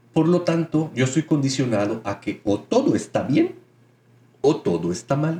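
The man's voice has vocal fry. His tone is dark and mellow. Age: 30s. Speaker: spiritual podcast host. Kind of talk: spiritual monologue.

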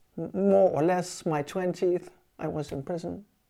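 In a very clean recording with a silent background, a woman with a German accent speaks at a moderate pace in a fairly low, dark, mellow voice with ordinary pitch variation. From West Germany. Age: 70s. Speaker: former militant activist and exile. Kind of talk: interview testimony. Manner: halting, many fillers.

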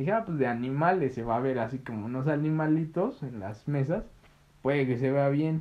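A man with a Mexican accent, fairly high in pitch, at a moderate pace with ordinary pitch variation. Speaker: podcast co-host. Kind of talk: casual chat.

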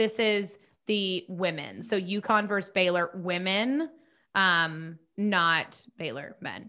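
In a very clean recording with a silent background, a woman speaks at a medium pitch with a bright, sharp tone. Her pace is very slow and her pitch varies in an ordinary way. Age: 20s. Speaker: sports podcast co-host. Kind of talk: casual chat.

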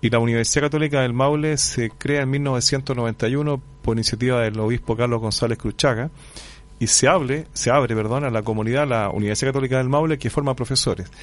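A man talks at a fairly quick pace in a normal speaking voice, medium in pitch, with fairly even intonation. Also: very even loudness. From Chile, Curicó. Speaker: history professor. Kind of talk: radio interview. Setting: radio studio.

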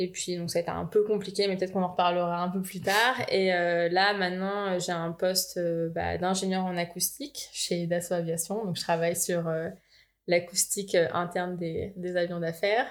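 Her pitch fairly low and her intonation monotone and flat, a woman talks at a moderate pace. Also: very clean recording, silent background. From France, Val-d'Oise (Paris region). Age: 20s. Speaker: engineer. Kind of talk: casual chat.

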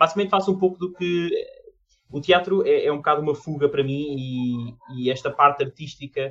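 A fairly high-pitched man's voice in a European Portuguese accent, with music in the background. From Portugal. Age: 20s. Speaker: artist, amateur theatre actor. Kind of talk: casual chat. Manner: halting, with repetitions.

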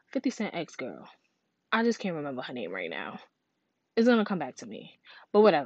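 A woman with a fairly low pitch and vocal fry talks at a fairly quick pace in an animated tone, her pitch swinging very widely. Long, frequent pauses break up her speech against a quiet background. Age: 30s. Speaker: podcast host. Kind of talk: casual monologue.

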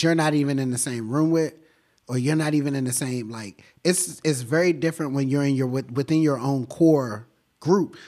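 Very clean recording with a silent background, featuring a man with an unremarkable speaking voice, fairly high in pitch, fairly quick, with ordinary pitch variation. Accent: American. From Washington, D.C. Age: 20s. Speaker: painter. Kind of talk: casual interview. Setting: art gallery.

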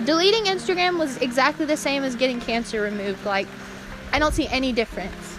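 Noticeable background noise sits behind a woman whose high voice carries lively intonation. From North Carolina. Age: 20s. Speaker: podcast host. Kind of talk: casual monologue. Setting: cellar of an abandoned prairie home.

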